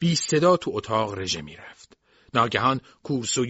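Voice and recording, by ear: Lively intonation runs through reading aloud in a natural voice, with the background quiet.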